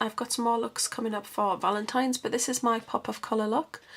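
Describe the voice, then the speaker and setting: A woman with a British accent talks at a very fast pace in a fairly high voice. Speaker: beauty vlogger. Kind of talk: tutorial. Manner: chatty.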